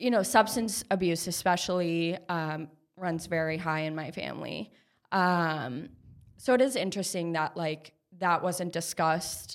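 A woman's fairly low voice with an Upper Midwest accent, at a fairly slow pace with ordinary pitch variation, on a very clean recording with a silent background. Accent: Upper Midwest American. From Minnesota, Minneapolis suburbs. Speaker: therapist and clothing brand co-founder. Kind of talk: casual chat.

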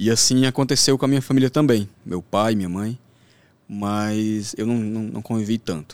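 A normal speaking voice with ordinary pitch variation talks at a moderate pace. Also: man, fairly low pitch for a man. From Brasília outskirts, Brazil. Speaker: sports trader. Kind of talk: podcast interview.

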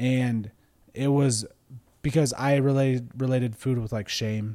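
A man talks at a moderate pace with medium pitch and ordinary pitch variation. He has a normal speaking voice. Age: 30s. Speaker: podcast host. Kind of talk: casual chat. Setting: studio.

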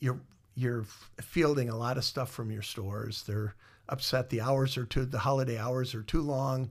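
On a very clean recording with a silent background, a man speaks at a moderate pace with medium pitch, somewhat breathy, his intonation fairly even. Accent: American. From Iowa. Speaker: musician and former mall marketing director. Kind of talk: interview storytelling. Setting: studio, in person. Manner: halting with many fillers.

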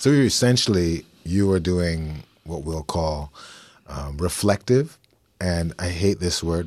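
A man speaks in a very deep, low pitch. The recording is very clean, with a silent background. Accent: Canadian. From Toronto, Canada. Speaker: podcast host, poet. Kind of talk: casual interview conversation. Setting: studio. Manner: animated.

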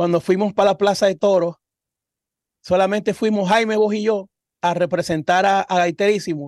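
With a Zulian Venezuelan accent, a man speaks in a high voice at very even loudness. The sound is dry and close, with no echo. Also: fairly even intonation, moderate pace. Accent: Zulian Venezuelan Spanish with voseo. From Venezuela, Cabimas (Zulia). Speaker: singer and podcast co-host. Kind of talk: casual chat.

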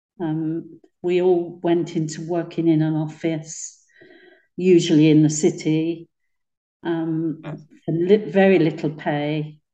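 A woman speaks very slowly in a fairly low, dark, mellow voice with monotone, flat intonation. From East London. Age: 70s. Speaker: interviewee recalling childhood. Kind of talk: oral history interview, reminiscing.

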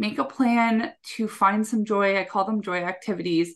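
With a Canadian accent, a woman speaks at a medium pitch with ordinary pitch variation in an ordinary speaking voice over a quiet background. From Canada. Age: 20s. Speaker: executive assistant and time management coach. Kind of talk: casual interview chat. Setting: video call.

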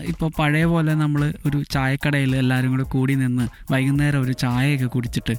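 A man speaks at a medium pitch with very even loudness. His intonation is monotone and flat. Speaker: podcast host. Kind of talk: casual solo monologue.

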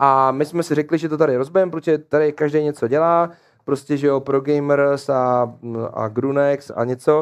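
In a normal speaking voice, a man talks at a moderate pace with a fairly high pitch and fairly even intonation. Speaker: esports streaming agency founder. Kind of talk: casual chat. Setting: studio.

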